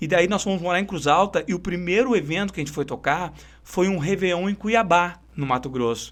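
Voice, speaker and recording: With a Porto Alegre accent, a man speaks at a high pitch and a fairly quick pace. His pitch varies in an ordinary way. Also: very clean recording, silent background. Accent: Greater Porto Alegre gaúcho. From southern Brazil, São Leopoldo (Greater Porto Alegre). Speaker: singer and bandleader. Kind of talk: interview.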